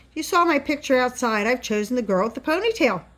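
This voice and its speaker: A woman puts on a character voice, high-pitched with lively intonation. She talks at a very fast pace. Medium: read story.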